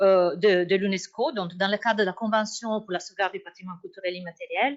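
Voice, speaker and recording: This woman speaks with an Italian accent. Her pitch varies in an ordinary way. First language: Italian (speaking French). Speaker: academic researcher. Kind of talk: conference talk. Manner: hesitant, many fillers.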